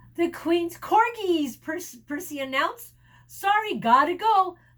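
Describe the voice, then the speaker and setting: A woman speaks in a put-on character voice with an extremely high pitch. Her pace is moderate. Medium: read story.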